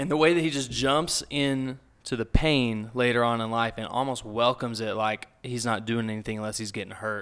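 Over a silent background in a very clean recording, a man speaks at a fairly quick pace with fairly even intonation. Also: medium pitch for a man, hardly any pauses. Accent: Texan. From South Texas. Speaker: book club member. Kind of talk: casual chat.

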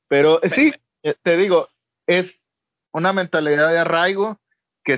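A high-pitched man at a moderate pace, with ordinary pitch variation. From Mexico, Monterrey (Nuevo León), born in Guadalajara. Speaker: podcast co-host. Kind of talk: casual chat. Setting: remote call.

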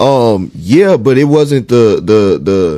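A man speaks at a very slow pace with medium pitch. His tone is dark and mellow, and his intonation is lively. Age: 30s. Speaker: podcast host. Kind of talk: casual chat. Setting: studio.

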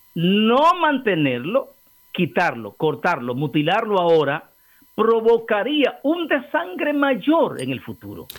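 A man speaks at a very slow pace in a high pitch, his voice making very wide pitch swings. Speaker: political commentator, co-host. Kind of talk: casual chat.

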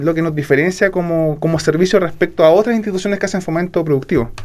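This is a man talking. His pitch is high. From southern Chile, Puerto Varas. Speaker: regional business development director. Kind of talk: radio interview.

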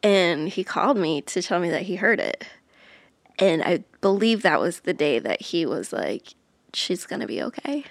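A woman with an American accent speaks at a moderate pace and medium pitch. She has a normal speaking voice, recorded very cleanly against a silent background. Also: lively intonation. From Iowa, US Midwest. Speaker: touring musician, former teacher. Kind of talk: casual interview chat.

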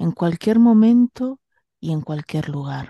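A woman's dark, mellow voice at a fairly low pitch, dry and close with no echo, over a quiet background. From Argentina, Bahía Blanca. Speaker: spiritual healer and radio host. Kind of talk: casual chat; guided meditation.

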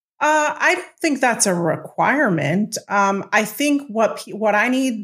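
A somewhat breathy woman speaks at a fairly slow pace with lively intonation. The recording is very clean, with a silent background. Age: 40s. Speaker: executive coach. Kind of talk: interview.

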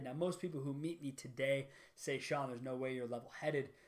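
Here is a man with a plain, everyday voice. He talks at a fairly quick pace, with ordinary pitch variation. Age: 30s. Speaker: car business entrepreneur and podcast host. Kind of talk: solo monologue introducing a podcast.

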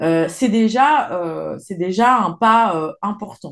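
Against a quiet background, a woman speaks at a fairly high pitch with lively intonation. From France, Isère and Savoie (Alps). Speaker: environmental journalist. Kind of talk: interview. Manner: hesitant with fillers.

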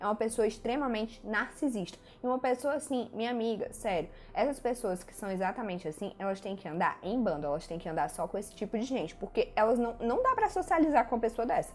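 Very fast and lively in intonation, a woman speaks at a fairly high pitch. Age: 20s. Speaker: podcast host, actress and writer. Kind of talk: solo podcast monologue. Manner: animated.

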